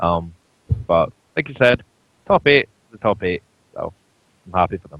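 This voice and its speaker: A man with a Scottish accent talks at a moderate pace, with long, frequent pauses. His loudness swings widely. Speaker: esports coach and pundit. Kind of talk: casual chat.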